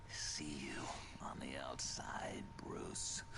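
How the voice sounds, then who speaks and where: A man whispers in a put-on character voice over loud background noise. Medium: game stream.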